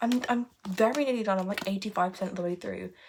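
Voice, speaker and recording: Somewhat breathy, the voice carries through. Its intonation stays lively. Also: woman. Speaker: booktuber. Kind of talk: casual vlog. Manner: animated.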